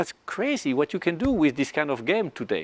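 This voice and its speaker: Speaking in a strong French accent, a man with a high pitch and very wide pitch swings keeps a moderate pace in a dry, close sound with no echo. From France. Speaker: flight test pilot. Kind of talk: panel discussion. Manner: halting, repeats words.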